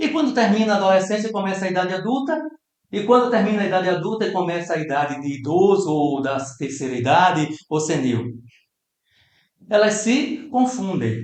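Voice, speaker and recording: This man talks at a fairly quick pace in a high voice, his pitch swinging very widely, with audible echo from the room. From Brazil. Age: 60s. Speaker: spiritist lecturer. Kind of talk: lecture. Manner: animated.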